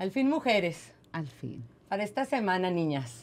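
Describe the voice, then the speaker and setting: A woman's fairly low voice with very wide pitch swings. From Mexico. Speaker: podcast co-host. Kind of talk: casual chat. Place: studio. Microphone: studio mic.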